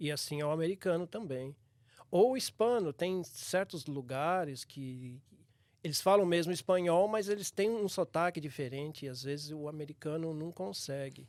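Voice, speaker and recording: Using ordinary pitch variation, a man talks at a moderate pace. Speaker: church elder. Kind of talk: casual chat.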